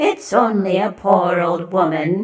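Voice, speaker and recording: A woman puts on a character voice at a medium pitch. She speaks at a fairly slow pace. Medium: read story. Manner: falsely sweet, coaxing.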